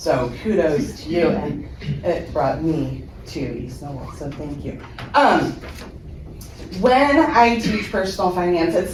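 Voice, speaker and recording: A woman speaks very slowly, her pitch swinging very widely and her loudness rising and falling sharply, with noticeable background noise and audible room echo. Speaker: high school finance teacher. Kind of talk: presentation at a school board meeting. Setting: school board meeting room, speaking without mic. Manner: many filler ums.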